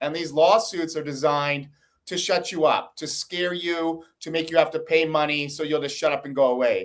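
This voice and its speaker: A man with an American accent speaks at a moderate pace in a plain, everyday voice, his fairly high pitch held in fairly even intonation. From United States. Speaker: investigative journalist. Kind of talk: interview.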